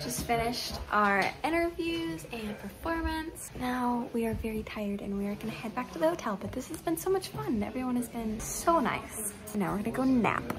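A woman at a moderate pace with hardly any pauses, over noticeable background noise. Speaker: musician vlogger. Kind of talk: casual vlog chat. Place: home room. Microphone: phone near.

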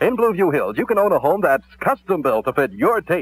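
A man with an American accent, very fast pace, very wide pitch swings and vocal fry, in a dry sound with no echo. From United States, Kansas City. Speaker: radio disc jockey. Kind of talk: radio commercial read for home sales. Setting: vintage AM radio broadcast. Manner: upbeat, fast-paced. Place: studio. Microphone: old recording.

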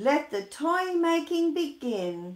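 A put-on character voice moves slowly, with big pitch swings. The room echo is audible. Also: woman, high pitch for a woman.

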